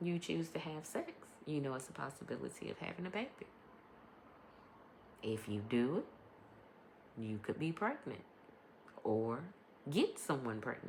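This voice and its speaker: Quiet and very deep, low-pitched, a woman speaks at a fairly slow pace with very wide pitch swings and long, frequent pauses. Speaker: podcast host and life coach. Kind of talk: casual monologue podcast. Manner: varies between quiet and loud; hesitant, many ums.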